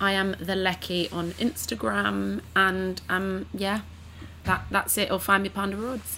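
A woman speaks with a London accent. Her pace is fairly slow. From East London. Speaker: actress and writer. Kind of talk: casual chat.

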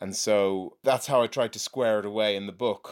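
The recording is very clean, and the background is silent. A man talks in a fairly low pitch. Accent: Irish. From Ireland. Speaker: novelist. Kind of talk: interview.

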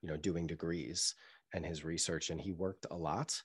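Man with an American accent and very deep, low pitch, fairly even intonation, moderate pace, very clean recording with a silent background. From US Northeast, Boston area. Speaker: marketing agency founder and CEO. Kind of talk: interview conversation.

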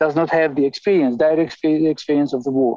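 Speaking with an Albanian accent, a man delivers his words in a dark, mellow tone with fairly even intonation, recorded dry and close with no echo. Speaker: ethnomusicologist. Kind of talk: interview. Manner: halting.

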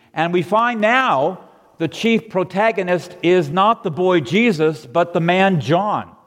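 In an American accent, a man speaks at a very slow pace in a high voice with very even loudness. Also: ordinary pitch variation. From Southern California. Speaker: pastor. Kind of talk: sermon. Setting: church.

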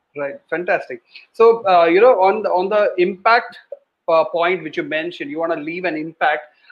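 A high male voice with ordinary rises and falls in pitch. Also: moderate pace. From India, Kerala (Kottayam). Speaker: podcast host. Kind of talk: casual interview.

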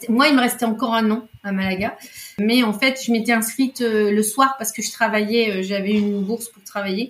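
A woman with a fairly high pitch talks at a moderate pace with fairly even intonation and big swings in loudness, over noticeable background noise. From Spain. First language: Spanish (speaking French). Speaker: podcast guest. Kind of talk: casual chat.

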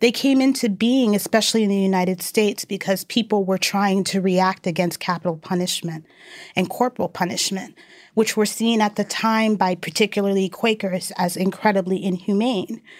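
Speaking in an ordinary speaking voice with an American accent, a woman talks at a moderate pace and medium pitch, her intonation fairly even, on a very clean recording with a silent background. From New York. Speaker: organizer and educator. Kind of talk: interview.

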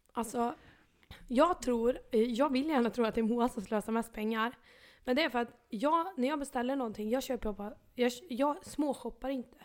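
With ordinary pitch variation, a woman talks in a high-pitched voice. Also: moderate pace. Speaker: podcast co-host. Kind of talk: casual chat. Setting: home bedroom. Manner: animated.

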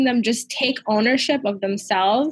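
A woman with a normal speaking voice, a fairly high pitch and a moderate pace. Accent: American. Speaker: podcast host. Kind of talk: casual chat.

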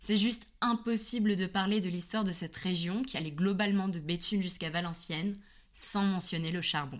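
Her pace is moderate. This woman's pitch shifts in an ordinary way. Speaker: history podcaster. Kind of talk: scripted narration. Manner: slight hesitation at the start. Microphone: new high-quality microphone.

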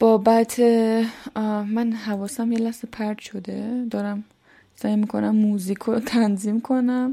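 A woman at a very slow pace, somewhat breathy, with a fairly high pitch, a dark, mellow tone and monotone, flat intonation. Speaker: podcaster. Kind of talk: personal monologue. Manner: emotional.

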